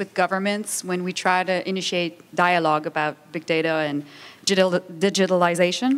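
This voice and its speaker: A woman with a Quebec accent speaks at a moderate pace and a medium pitch, recorded very cleanly against a silent background. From Quebec, Montreal. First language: French. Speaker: international organization official, panelist. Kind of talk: conference panel talk.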